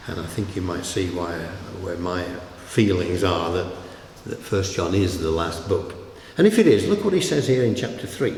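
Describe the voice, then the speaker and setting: Over noticeable background noise and audible room echo, a man with a very deep, low pitch and a Yorkshire accent speaks at a moderate pace with fairly even intonation and long, frequent pauses. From northern England, Yorkshire. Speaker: pastor. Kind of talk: sermon.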